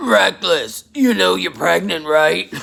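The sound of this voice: In a put-on character voice, a man talks gruff and raspy at a fairly high pitch and a fairly slow pace.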